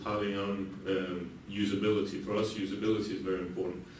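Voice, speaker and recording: Audible room echo and noticeable background noise fill the recording. A man with a Danish accent speaks at a fairly quick pace in a fairly low pitch. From Denmark. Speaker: software company CEO. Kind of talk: conference talk. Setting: conference room with audience. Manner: hesitant, many fillers; fast.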